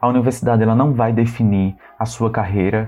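Very fast and monotone, with flat intonation, a man speaks at a medium pitch. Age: 20s. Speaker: geography teaching student, podcast co-host. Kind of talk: casual chat.

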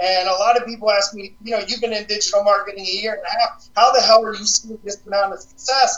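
A man speaks at a high pitch with a fairly bright tone.

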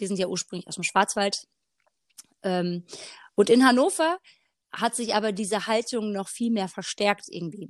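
A woman's fairly high voice, a normal speaking voice, at a moderate pace with ordinary pitch variation, dry and close with no echo, in a very clean recording with a silent background. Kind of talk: casual faith conversation.

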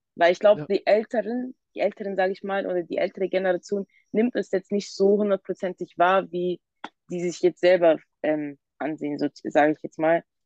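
Speaking at a fairly quick pace, a woman uses an ordinary speaking voice of medium pitch and ordinary variation, recorded with a dry, close sound with no echo. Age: 20s. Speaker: youth council member. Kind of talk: casual chat.

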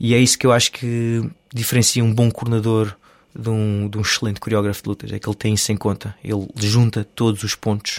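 Speaking at a fairly quick pace in a monotone, flat intonation, a man with a fairly low pitch is captured with a dry, close sound with no echo on a very clean recording with a silent background. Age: 30s. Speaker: stunt performer and stunt coordinator. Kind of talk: casual interview.

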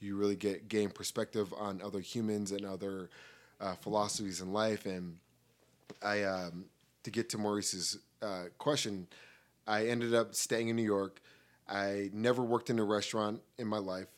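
The speaker has an American accent and monotone, flat intonation. The recording is very clean, with a silent background. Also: man, fairly low pitch for a man, moderate pace. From Colorado. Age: 20s. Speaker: podcast guest, media professional. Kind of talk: casual chat.

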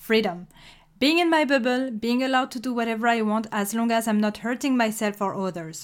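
On a very clean recording with a silent background, a woman with a French accent talks at a moderate pace, her fairly high pitch showing ordinary variation. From France. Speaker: podcast host. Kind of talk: scripted solo podcast monologue.

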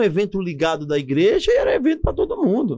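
A man speaks very fast in a high pitch, with very wide pitch swings. His tone is dark and mellow. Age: 40s. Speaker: pastor. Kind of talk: casual interview with personal testimony.

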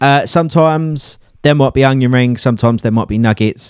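Very fast speech comes from a man. He has an English accent. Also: very clean recording, silent background. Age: 20s. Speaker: DJ and podcast host. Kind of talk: casual chat.

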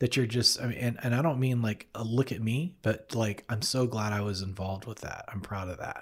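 At a fairly quick pace with hardly any pauses, a somewhat breathy man speaks at a medium pitch with ordinary pitch variation. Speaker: podcast host and co-producer. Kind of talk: casual interview conversation. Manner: friendly, conversational.

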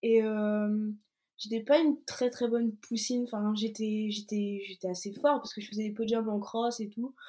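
At a moderate pace, a somewhat breathy voice with a dark, mellow tone holds a monotone, flat intonation. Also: woman. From Brittany, France. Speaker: athlete. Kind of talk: interview.

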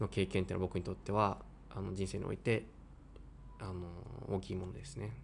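A man's very deep, low voice with vocal fry and fairly even intonation, at a fairly quick pace broken by long, frequent pauses. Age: 20s. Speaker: violinist. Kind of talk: interview; speech to online concert audience.

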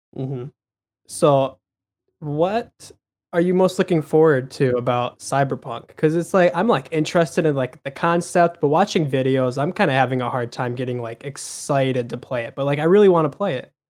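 With a plain, everyday voice, this man talks at a moderate pace, his fairly high pitch showing ordinary variation on a very clean recording with a silent background. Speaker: podcast co-host. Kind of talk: casual chat. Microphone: mic peaks and distorts.

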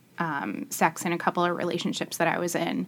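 In an ordinary speaking voice, a woman with a fairly low pitch talks at a moderate pace on a very clean recording with a silent background. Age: 40s. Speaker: podcast guest, married mother. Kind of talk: casual chat.

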